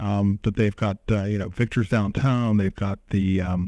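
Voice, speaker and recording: A man's fairly low, dark, mellow voice sounds dry and close with no echo in a very clean recording with a silent background. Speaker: chamber of commerce director. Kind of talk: interview. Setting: podcast interview.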